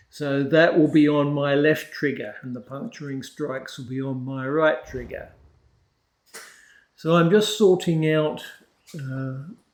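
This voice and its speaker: A man with a fairly high pitch and ordinary pitch variation talks at a fairly slow pace with long, frequent pauses, big swings in loudness and audible room echo. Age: 60s. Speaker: gaming youtuber. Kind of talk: tutorial. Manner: hesitant, with frequent fillers.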